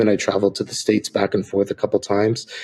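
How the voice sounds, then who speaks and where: A soft-spoken man with an American accent, at a fairly quick pace. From Ecuador, then rural Nevada. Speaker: missionary. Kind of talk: interview.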